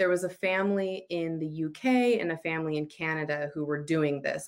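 This woman has an ordinary speaking voice, pitched fairly low with ordinary pitch variation. The background is quiet. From Utah, US. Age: 30s. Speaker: sociologist and author. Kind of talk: interview.

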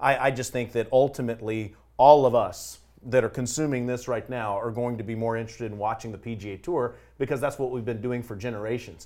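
On a very clean recording with a silent background, a man speaks very fast in a medium pitch and a dark, mellow tone. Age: 40s. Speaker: golf broadcaster. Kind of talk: casual panel discussion.

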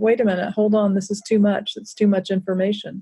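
In a monotone with flat intonation, a woman with an American accent speaks in a dark, mellow tone that is somewhat breathy. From US South. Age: middle-aged. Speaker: author and social justice educator. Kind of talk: interview conversation.

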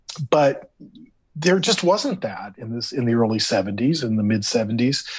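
A man speaks with a Californian accent. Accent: Californian American. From US West Coast, Los Angeles area. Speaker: theme park creative director. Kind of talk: casual interview.

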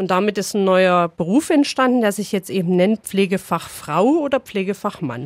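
A woman talks with a plain, everyday voice at a medium pitch and a moderate pace. Her intonation is lively, with hardly any pauses. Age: 30s. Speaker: nurse and practical training supervisor. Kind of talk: interview. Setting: studio.

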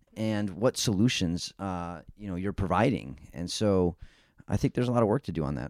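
Here a man speaks at a moderate pace. His pitch is very deep and low, with vocal fry. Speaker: podcast co-host, former energy official. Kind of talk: casual policy discussion.

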